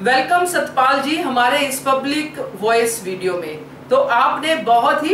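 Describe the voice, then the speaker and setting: A woman with a high pitch speaks with lively intonation. Audible room echo and noticeable background noise surround her voice. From Punjab, India. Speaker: YouTube TV-serial commentator. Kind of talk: host responding to listener audio messages.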